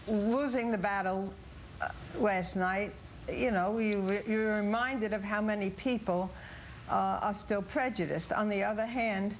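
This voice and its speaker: A woman speaks at a moderate pace and medium pitch, with very even loudness and fairly even intonation. Audible room echo colors the recording. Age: 70s. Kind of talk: TV news interview.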